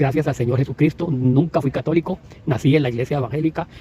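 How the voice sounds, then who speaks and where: The man's voice has a dark, mellow tone. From Costa Rica, Puntarenas. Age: 60s. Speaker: evangelical preacher. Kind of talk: religious commentary monologue. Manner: halting, with many repetitions.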